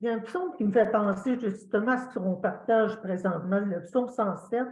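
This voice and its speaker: In a strong Quebec accent, a woman speaks at a fairly high pitch with ordinary pitch variation. Her voice is somewhat breathy, and the room echo is audible. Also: moderate pace. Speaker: church member sharing testimony. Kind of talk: testimony. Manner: halting, many hesitations.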